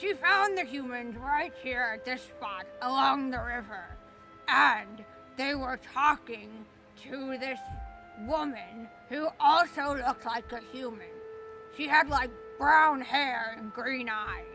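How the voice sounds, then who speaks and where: A put-on character voice with a high pitch speaks at a fairly slow pace, with long, frequent pauses over clear music in the background. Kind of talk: spooky campfire tale. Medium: solo performance. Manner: conversational, folksy.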